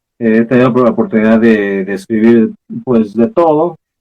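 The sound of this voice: A man talks at a moderate pace and a medium pitch. His intonation is lively.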